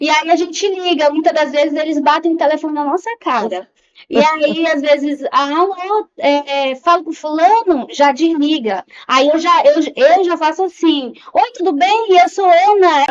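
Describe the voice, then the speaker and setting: Her pitch is extremely high for a woman. She speaks at a fairly slow pace with ordinary pitch variation. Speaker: psychologist and HR recruiter. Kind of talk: podcast interview.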